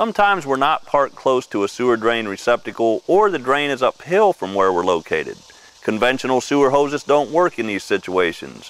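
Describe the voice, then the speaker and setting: A man talks at a fairly quick pace. His pitch swings very widely, and the sound is dry with no echo. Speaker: product demonstrator. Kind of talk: tutorial presentation. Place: open country. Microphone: lapel.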